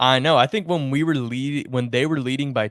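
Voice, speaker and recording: A man with an American accent speaks at a moderate pace, his medium-pitched, unremarkable speaking voice carrying fairly even intonation in a dry, close sound with no echo. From United States. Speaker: sports podcast co-host. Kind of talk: casual chat.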